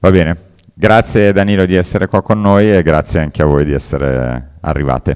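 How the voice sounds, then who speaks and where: A man with a very deep, low pitch talks fairly quickly, his pitch showing ordinary variation. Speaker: event organizer. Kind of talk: event introduction. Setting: room with live audience.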